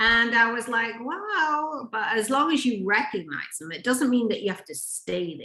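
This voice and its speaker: At a moderate pace, a woman with a fairly high pitch barely pauses, her pitch swinging very widely and her loudness rising and falling sharply, with vocal fry. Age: 60s. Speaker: relationship and intimacy coach. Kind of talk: interview conversation.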